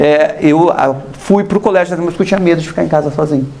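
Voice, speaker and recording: Lively intonation marks a man's speech over noticeable background noise. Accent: southern Brazilian. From southern Brazil, Paraná. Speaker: artist, former model. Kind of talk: TV interview. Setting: TV studio. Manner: conversational, hesitant fillers.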